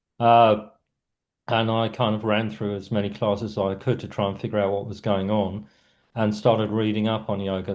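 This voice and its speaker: With a South London accent, a man talks in a fairly low, monotone, flat voice against a quiet background. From South London, England. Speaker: writer and cultural critic. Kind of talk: interview conversation. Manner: little mouth movement, stone-faced delivery; hesitant, many fillers.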